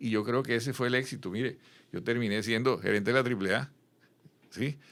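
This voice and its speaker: At a fairly quick pace, a man uses a normal speaking voice at medium pitch with fairly even intonation. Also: very clean recording, silent background. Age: 60s. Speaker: business executive and consultant. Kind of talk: interview conversation.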